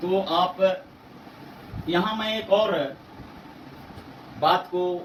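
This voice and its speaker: With a Bihari accent, a man speaks in a high voice with long, frequent pauses, over noticeable background noise and audible room echo. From Bihar, India. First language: Bhojpuri (speaking Hindi). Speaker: English language teacher. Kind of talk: tutorial. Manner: hesitant, with filler sounds and self-corrections.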